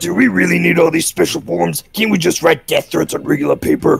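A man puts on a raspy character voice and talks at a fairly quick pace.

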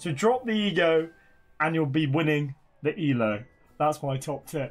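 He speaks with a British accent at a fairly high pitch. This man keeps to a fairly slow pace. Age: 30s. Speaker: gaming YouTuber. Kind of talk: tutorial. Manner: casual.

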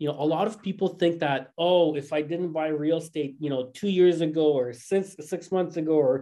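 The background stays quiet. A man talks at a moderate speed. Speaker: real estate brokerage co-host. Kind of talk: panel discussion. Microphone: webcam.

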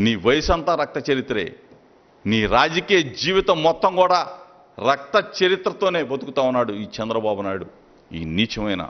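An angry-toned man speaks at a fairly high pitch. His voice swings very widely in pitch. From Andhra Pradesh, India. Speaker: state minister, politician; politician at press meet. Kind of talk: press conference tirade. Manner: angry, forceful; repetitive, emphatic. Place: meeting room. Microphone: podium.

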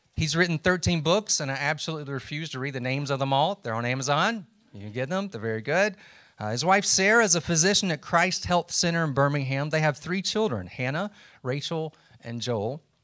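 Against a quiet background, a man with a fairly high voice talks fairly quickly with lively intonation. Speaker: professor. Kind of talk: casual chat. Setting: stage with audience. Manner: animated. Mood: relaxed, lightly humorous. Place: classroom. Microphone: handheld.

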